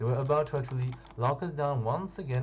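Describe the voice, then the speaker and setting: A man with a French accent. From France. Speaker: gaming youtuber. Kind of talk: casual storytelling over gameplay. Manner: halting, hesitant.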